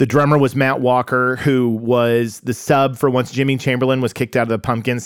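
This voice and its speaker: Speech in an American accent comes at a fairly quick pace, with monotone, flat intonation. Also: man. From US Midwest, Oklahoma then Chicago area. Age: 40s. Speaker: guest, musician and content creator. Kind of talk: casual chat. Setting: record store.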